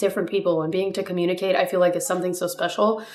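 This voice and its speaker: A woman speaks over noticeable background noise. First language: Spanish. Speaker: pre-med student vlogger. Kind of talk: casual vlog tutorial.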